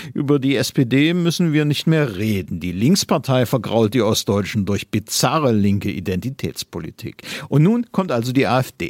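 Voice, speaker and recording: Moving at a moderate pace with hardly any pauses, a man at medium pitch makes very wide pitch swings. The sound is dry and close with no echo, in a very clean recording with a silent background. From eastern Germany. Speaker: newspaper commentator. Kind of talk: read opinion commentary.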